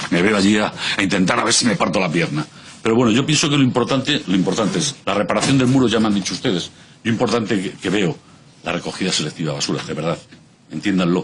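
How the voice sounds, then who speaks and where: Over noticeable background noise, a man with a fairly low pitch talks very fast with lively intonation. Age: 60s. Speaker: civic association representative. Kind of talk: parliamentary testimony. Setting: regional parliament committee hearing.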